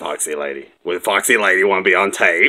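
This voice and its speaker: A man's cartoonish character voice, fairly low in pitch, at a fairly quick pace. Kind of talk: playful puppet show banter. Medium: puppet show. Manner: bossy, exasperated. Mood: bossy, exasperated.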